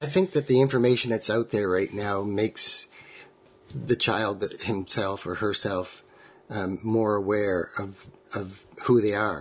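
A man with a Canadian accent talks at a fairly slow pace and fairly low pitch, somewhat breathy, with ordinary pitch variation. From Ontario. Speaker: family member of conversion therapy survivor. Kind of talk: recorded interview, personal story.

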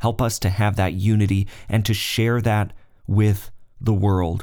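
A man with a normal speaking voice talks at a fairly low pitch with fairly even intonation, captured on a very clean recording against a silent background. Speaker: podcast host. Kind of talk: fervent prayer, spoken aloud to God. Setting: podcast recording. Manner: earnest, heartfelt, reverent; warm and fervent, pleading with God.

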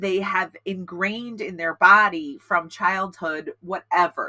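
A woman's bright, sharp voice at medium pitch shows ordinary pitch variation, with a dry, close sound and no echo. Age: 40s. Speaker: podcast co-host. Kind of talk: casual chat.

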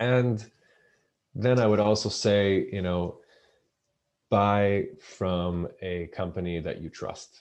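Speaking at a very slow pace with long, frequent pauses, a man keeps his intonation fairly even over a quiet background. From Israel. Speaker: osteopath and naturopath, company founder. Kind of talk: interview. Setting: video call. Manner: halting, many fillers and repetitions.

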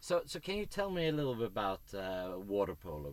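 A man speaks with a Swedish accent. His pace is fairly quick. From Sweden. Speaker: podcast host. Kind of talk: casual interview.

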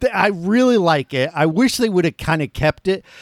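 A man with a normal speaking voice and an American accent talks at a moderate pace with lively intonation, in a dry, close sound with no echo. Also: very clean recording, silent background. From Florida. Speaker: podcast host. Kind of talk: casual chat.

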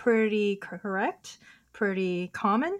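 A woman with an American accent is heard on a very clean recording with a silent background. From US West Coast, Oakland, California. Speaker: poet and filmmaker. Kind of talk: casual chat.

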